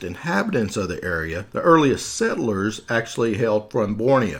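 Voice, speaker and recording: A medium-pitched man with a Southern US accent, lively intonation and a moderate pace. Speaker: podcast host. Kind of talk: scripted podcast narration.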